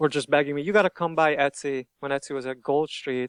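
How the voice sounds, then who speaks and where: A man's fairly high voice in a Hungarian accent, with fairly even intonation and a dry, close sound with no echo. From Hungary. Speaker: shop owner, t-shirt designer. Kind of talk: interview. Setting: podcast interview.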